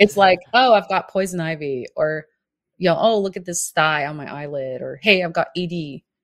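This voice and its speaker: A woman talks at a moderate pace in a plain, everyday voice, her loudness swinging widely. Her pitch is fairly low, with ordinary variation. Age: 30s. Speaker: family physician, telehealth consultant. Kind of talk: interview.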